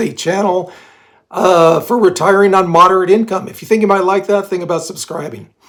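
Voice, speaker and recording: A man's high-pitched voice at a fairly quick pace, with fairly even intonation. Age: 60s. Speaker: retirement vlogger. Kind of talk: casual talk to camera.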